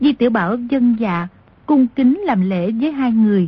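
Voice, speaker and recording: A woman speaks at a very slow pace in a fairly high pitch. Her intonation is lively. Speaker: audiobook narrator. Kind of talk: reading aloud, story narration.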